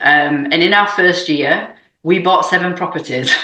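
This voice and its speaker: A woman with a British accent has a fairly low pitch and fairly even intonation. She keeps a moderate pace amid audible room echo. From UK. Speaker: real estate investor. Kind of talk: podcast interview.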